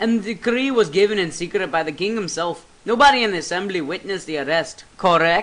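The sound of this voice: Someone reads aloud in an unforced reading voice.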